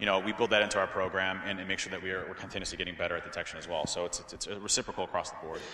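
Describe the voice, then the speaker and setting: Speech comes at a very fast pace with hardly any pauses, in an American accent. The intonation is monotone and flat, with audible room echo. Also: man, very deep, low pitch for a man. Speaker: security expert and keynote speaker. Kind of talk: conference Q&A. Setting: stage with audience. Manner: repetitive, stammering filler.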